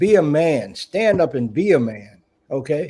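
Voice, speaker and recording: Speaking fairly slowly with an American accent, this man has a dark, mellow tone, a fairly high pitch and lively intonation. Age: 70s. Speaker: talk show host. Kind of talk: live talk show discussion. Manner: animated.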